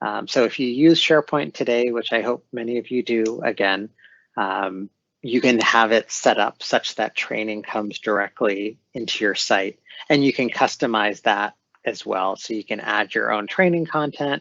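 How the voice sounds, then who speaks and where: A man with an ordinary speaking voice, medium pitch, ordinary pitch variation, and a moderate pace. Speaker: corporate training lead presenting. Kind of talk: webinar presentation.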